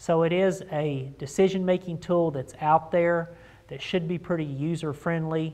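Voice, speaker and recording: A man at a moderate pace, in a monotone, flat delivery. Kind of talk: informational talk to camera. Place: office.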